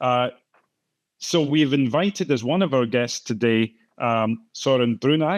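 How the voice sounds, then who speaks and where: A man with a Scottish accent speaks at a medium pitch. The sound is dry and close with no echo, over a quiet background. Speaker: moderator, professor of biochemistry. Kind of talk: panel discussion moderation. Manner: hesitant, many fillers and repetitions.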